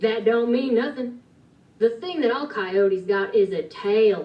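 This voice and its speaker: In a put-on character voice, a woman drawls in a Western US accent at a fairly slow pace. Her pitch sits fairly high, and her intonation is lively. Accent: Western cowboy drawl. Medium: read story. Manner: drawling, folksy.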